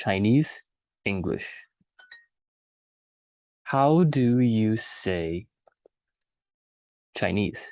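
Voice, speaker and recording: Speech comes at a very slow pace with long, frequent pauses. The background is quiet. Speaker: English teacher. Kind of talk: language lesson for beginners. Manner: slow, repetitive.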